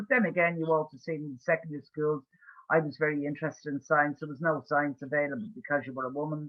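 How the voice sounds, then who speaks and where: Speaking very fast, a woman with an Irish accent keeps her intonation fairly even. Her pitch is very deep and low. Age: 60s. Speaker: campaigner for institutional abuse survivors. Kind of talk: webinar Q&A discussion.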